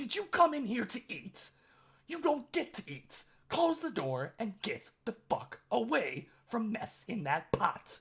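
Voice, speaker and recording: A man puts on a character voice, raised and projected, shrill and extremely high-pitched. He talks at a fairly slow pace. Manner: scolding, angry.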